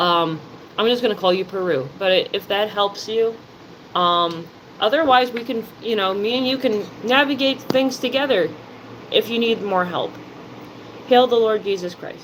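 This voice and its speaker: Against noticeable background noise, a woman in a New Jersey accent speaks at a moderate pace in a fairly high pitch, with lively intonation and long, frequent pauses. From New Jersey, US. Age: 30s. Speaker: live streamer. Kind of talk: casual live stream chat.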